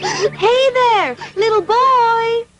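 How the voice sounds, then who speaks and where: In a squeaky put-on character voice, a woman speaks at an extremely high pitch with fairly even intonation. Faint music plays in the background. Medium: cartoon. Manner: gentle, kind.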